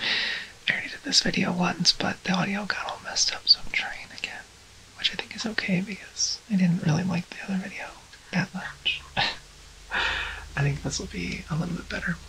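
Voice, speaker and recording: Whispering at a moderate pace with big swings in loudness, a woman is heard over noticeable background noise. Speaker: transgender woman ASMR creator. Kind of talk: ASMR rambling talk to camera. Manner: whispered, soft.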